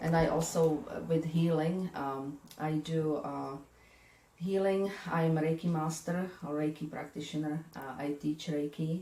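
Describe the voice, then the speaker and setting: In a European accent, a woman speaks with a very deep, low pitch. Her pace is fairly slow and her intonation monotone and flat. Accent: European accent, kept. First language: not English. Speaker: spiritual medium and energy healer. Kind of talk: interview. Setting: her office.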